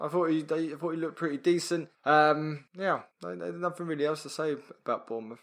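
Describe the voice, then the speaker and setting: Against a quiet background, a man with an ordinary speaking voice talks at a fairly high pitch with fairly even intonation. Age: 30s. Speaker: podcast co-host. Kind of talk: casual chat.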